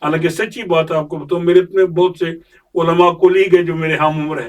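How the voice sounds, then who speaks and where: This man's voice sits high in pitch. His intonation is fairly even. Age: 70s. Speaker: imam. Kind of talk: interview. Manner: formal.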